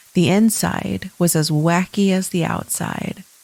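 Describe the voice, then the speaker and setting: Over noticeable background noise, a woman at medium pitch speaks at a very slow pace with fairly even intonation. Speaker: podcast host. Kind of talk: scary story reading.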